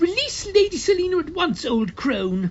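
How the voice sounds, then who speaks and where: A put-on character voice, extremely high in pitch and loud, comes through over light background noise. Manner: loud, demanding.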